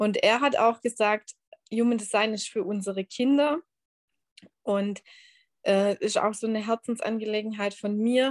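Recorded with a dry, close sound and no echo, a woman talks in a fairly high voice with ordinary pitch variation. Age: 30s. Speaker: human design coach. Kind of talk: interview. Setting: video call.

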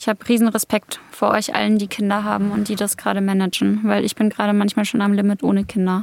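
A woman talks at a very fast pace in a monotone, flat intonation, her loudness very even throughout. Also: medium pitch for a woman, dry, close sound with no echo. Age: 20s. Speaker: podcast host. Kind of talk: casual interview.

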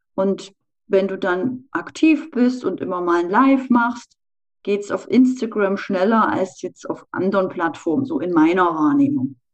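A woman speaks at a fairly slow pace with a medium pitch and very wide pitch swings. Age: 40s. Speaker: sales trainer. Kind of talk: interview.

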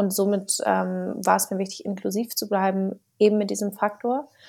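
At a moderate pace, a woman with a dark, mellow tone speaks at medium pitch in a flat monotone. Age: 20s. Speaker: startup founder and author. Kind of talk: podcast interview.

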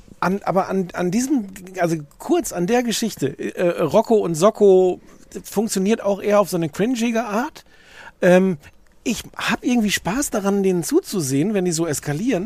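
Here a man speaks at a moderate pace. His pitch is high and his intonation lively. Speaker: podcast co-host. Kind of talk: casual chat. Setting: outdoors.

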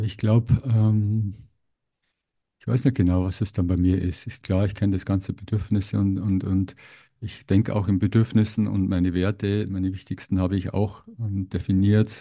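The tone is dark and mellow, with monotone, flat intonation. It moves at a moderate pace over a quiet background. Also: man, fairly low pitch for a man. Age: 50s. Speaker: podcast host. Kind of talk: interview conversation.

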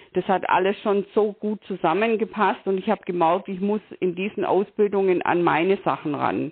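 Speaking at a moderate pace with hardly any pauses, a woman keeps her medium pitch and fairly even intonation. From Bavaria, southern Germany. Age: 60s. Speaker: tax advisor and coach. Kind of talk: interview. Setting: phone call. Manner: hesitant, many filler sounds.

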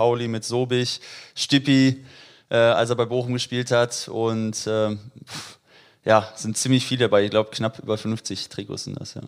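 This man has a medium pitch and an unremarkable speaking voice, talking at a moderate pace. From Dortmund, Germany. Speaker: former footballer, youth coach. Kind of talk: casual interview. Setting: at his home.

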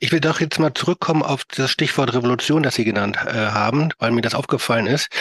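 A man's medium-pitched voice at a very fast pace with hardly any pauses, very even loudness and ordinary pitch variation, in a dry, close sound with no echo over noticeable background noise. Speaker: podcast host. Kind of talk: interview.

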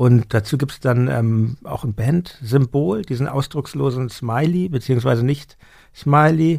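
Using an unremarkable speaking voice, a man talks at a fairly slow pace and medium pitch with ordinary pitch variation. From Hamburg. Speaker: podcast host and musician. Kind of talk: interview. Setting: studio.

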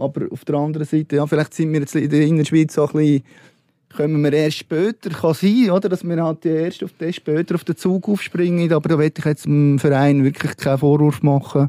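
The man's fairly high voice has a dark, mellow tone and fairly even intonation, recorded dry and close with no echo. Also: fairly quick pace. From Switzerland, Lucerne. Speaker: sports journalist. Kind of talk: panel discussion. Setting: studio.

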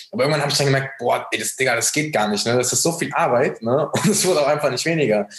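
Over noticeable background noise, a man with a fairly high voice talks very fast with hardly any pauses. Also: ordinary pitch variation. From Germany, near Frankfurt. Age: 20s. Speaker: dropshipping entrepreneur. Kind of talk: casual interview, personal story.

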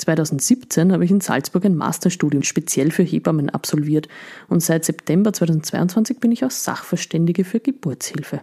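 A woman's dark, mellow, somewhat breathy voice sits fairly low, with lively intonation and very even loudness. The sound is dry and close, with no echo. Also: moderate pace. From Upper Austria. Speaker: midwife, podcast host. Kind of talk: scripted podcast introduction.

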